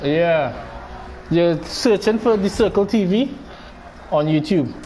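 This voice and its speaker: Over noticeable background noise, a man talks at a very slow pace in a high pitch, with lively intonation and very even loudness. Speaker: gaming streamer. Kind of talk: live gameplay stream chat.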